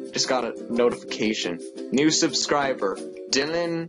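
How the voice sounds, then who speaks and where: A man's voice comes through with clear music behind it. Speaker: youtuber. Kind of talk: casual vlog chat. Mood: jokey, playful. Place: home room. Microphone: webcam.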